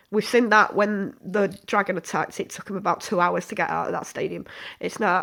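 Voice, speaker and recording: A woman of medium pitch in a British accent at a fairly quick pace, on a very clean recording with a silent background. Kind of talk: casual review to camera. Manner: sniffing, snorting.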